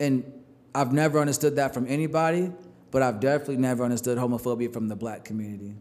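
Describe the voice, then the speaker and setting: At a very fast pace, a man speaks with medium pitch. His pitch variation is ordinary. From New York. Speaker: podcast host. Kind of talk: casual chat. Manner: animated.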